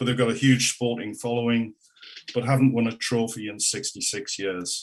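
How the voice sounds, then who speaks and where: A man with a Geordie accent talks at a fairly quick pace and medium pitch, his intonation fairly even. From northern England, Newcastle upon Tyne. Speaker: local government consultant. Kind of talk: council presentation. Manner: halting, many fillers.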